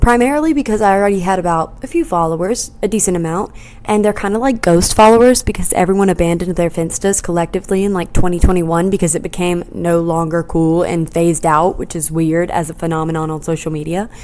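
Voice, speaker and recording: A woman's very fast, fairly low-pitched speech with hardly any pauses and ordinary pitch variation, over noticeable background noise. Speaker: podcast host. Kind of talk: casual chat. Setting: at home in apartment. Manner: quiet, soft-spoken.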